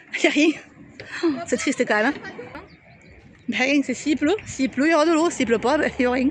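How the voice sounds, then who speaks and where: Over noticeable background noise, the speech moves at a fairly quick pace with very even loudness, ordinary pitch variation, and long, frequent pauses. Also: woman, high pitch for a woman. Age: 40s. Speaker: vlogger. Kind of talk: casual vlog narration. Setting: outdoors.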